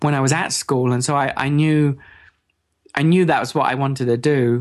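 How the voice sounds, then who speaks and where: A man with an English accent talks at a moderate pace with a fairly high pitch. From England. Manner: halting.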